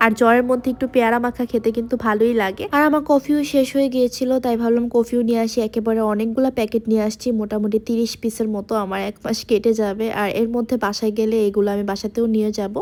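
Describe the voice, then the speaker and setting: A woman's fairly high voice with monotone, flat intonation. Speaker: vlogger. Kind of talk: vlog narration.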